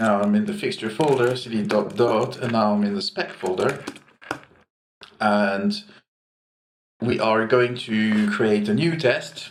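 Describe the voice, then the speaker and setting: Fairly slow male speech broken by long, frequent pauses, in audible room echo. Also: medium pitch for a man, ordinary pitch variation. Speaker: programmer. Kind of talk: tutorial. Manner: halting. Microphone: cheap mic right over the keyboard.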